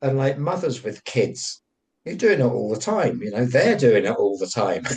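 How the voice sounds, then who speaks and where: A man talks with very wide pitch swings in a somewhat breathy voice. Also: medium pitch for a man, moderate pace. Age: 60s. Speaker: elder bard, spiritual teacher. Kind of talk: casual chat.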